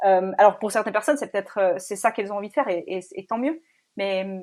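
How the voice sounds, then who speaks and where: On a very clean recording with a silent background, a woman speaks very fast. Her voice is medium in pitch with ordinary variation. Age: 30s. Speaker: professional triathlete. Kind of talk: interview. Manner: hesitant, many fillers.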